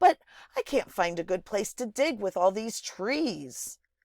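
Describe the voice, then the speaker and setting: In a put-on character voice, a female-sounding speaker with fairly high pitch talks at a fairly slow pace over a very clean recording with a silent background. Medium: read story.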